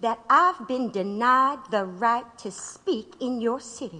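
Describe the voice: Using a put-on character voice, a woman speaks slowly in a bright, sharp tone at a fairly high pitch with ordinary pitch variation.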